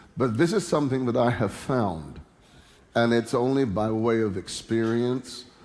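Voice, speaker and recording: A man talks at a fairly slow pace, his pitch in the medium range with ordinary variation. Music plays in the background. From London, England. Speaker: preacher, minister. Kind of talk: sermon preached to a congregation. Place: church. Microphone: headset.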